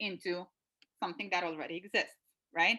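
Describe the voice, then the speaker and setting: A woman with a Lithuanian accent speaks in a bright, sharp tone. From Lithuania, Klaipeda. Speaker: consultant, university alumna. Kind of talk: webinar interview.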